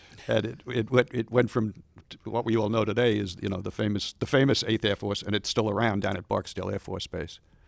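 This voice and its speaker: With a plain, everyday voice, a man talks at a fairly quick pace in a fairly low pitch and fairly even intonation. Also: dry, close sound with no echo. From Long Island, New York. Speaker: museum special projects coordinator, aviation historian. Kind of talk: interview, storytelling about history. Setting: studio.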